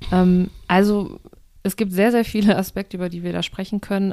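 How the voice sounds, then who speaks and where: A dark, mellow voice moves at a moderate pace on a very clean recording with a silent background. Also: woman. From Germany. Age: 30s. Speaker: podcast co-host. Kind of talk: casual chat.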